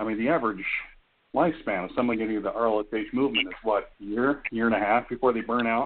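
At a fairly quick pace, a man uses a normal speaking voice with medium pitch and ordinary pitch variation. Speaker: real-life superhero guest. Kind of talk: casual group chat.

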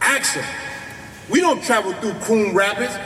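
A man's raised, projected voice, high in pitch, with noticeable background noise. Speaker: community activist. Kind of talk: speech at a rally. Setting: outdoors in front of a crowd. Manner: animated.

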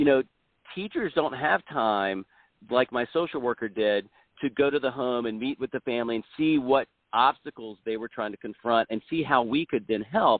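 A normal speaking voice with an American accent. The pace is moderate, and the pitch variation is ordinary. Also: man. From South Carolina. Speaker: school board candidate, former lawyer and teacher. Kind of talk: interview.

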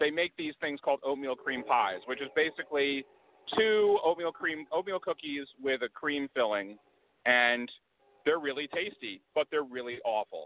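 A man's normal speaking voice with an American accent, fairly high pitch, ordinary pitch variation and a moderate pace. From US South. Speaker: IT worker. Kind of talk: interview.

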